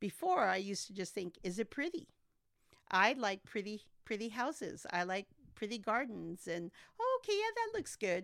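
At a moderate pace and with lively intonation, a woman speaks in a plain, everyday voice that sits fairly high. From Santa Maria, California (born in Texas, moved as toddler). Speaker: college trustee and former city council member. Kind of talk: interview.

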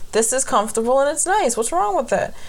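Loud and high-pitched, a woman's voice comes through. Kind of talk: casual chat. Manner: loud talker.

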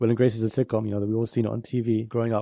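A man with a British accent speaks at a very fast pace in a dark, mellow tone of medium pitch. The recording is very clean, with a silent background. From UK. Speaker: poet and filmmaker. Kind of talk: interview conversation.

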